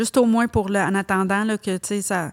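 At a moderate pace, a woman speaks in a medium pitch with a Quebec accent. The recording is very clean with a silent background and a dry, close sound without echo. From Quebec, Montreal. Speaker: hairdresser and salon owner. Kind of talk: casual interview.

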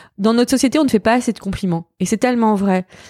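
Recorded very cleanly against a silent background, a woman talks with ordinary pitch variation in a dry, close sound with no echo. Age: 40s. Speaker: fashion journalist and podcaster. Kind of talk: casual interview chat. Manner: halting, repetitive.

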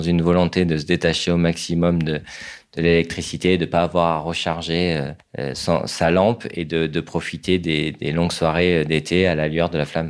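A man speaks in a very deep, low voice with a flat, monotone delivery. The recording is very clean, with a silent background. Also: hardly any pauses. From southern France. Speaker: designer and brand co-founder. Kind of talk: interview.

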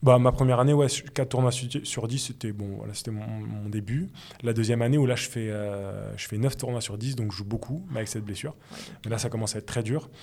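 Speaking at a fairly quick pace, a man has a dark, mellow tone, a medium pitch and fairly even intonation. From Paris suburbs, Seine-et-Marne. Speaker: former rugby player turned journalist. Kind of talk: interview. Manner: halting.

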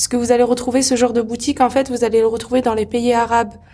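A woman's high-pitched voice, dark and mellow in tone, with monotone, flat intonation. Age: 20s. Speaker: henna artist and entrepreneur. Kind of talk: interview.

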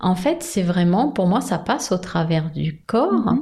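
The voice is somewhat breathy, with lively intonation. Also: woman. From Brittany, France. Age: 50s. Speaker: sophrologist and psychoanalyst, author. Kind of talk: interview.

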